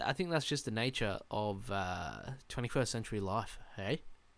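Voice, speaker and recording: A man with an Australian accent, lively intonation and a fairly slow pace. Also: very clean recording, silent background. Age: 20s. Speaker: podcast host. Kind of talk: solo casual monologue. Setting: alone in a room. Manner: rambling with many fillers.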